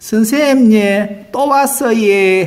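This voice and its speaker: A female-sounding voice puts on a character voice at a fairly high pitch. She speaks at a very slow pace. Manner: sheepish, comic.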